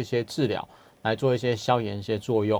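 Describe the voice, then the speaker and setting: The speaker is male. He talks very fast. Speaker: hospital clinical pharmacist. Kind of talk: radio health interview. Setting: radio studio.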